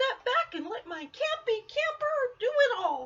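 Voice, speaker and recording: A squeaky, put-on character voice sits at an extremely high pitch. It moves at a fairly slow pace, with very wide pitch swings. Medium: read story.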